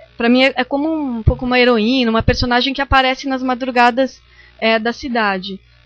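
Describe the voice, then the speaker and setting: With music playing in the background, the voice shows ordinary pitch variation. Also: woman. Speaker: visual artist and lecturer. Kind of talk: lecture. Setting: seminar talk with audience. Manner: halting, many fillers.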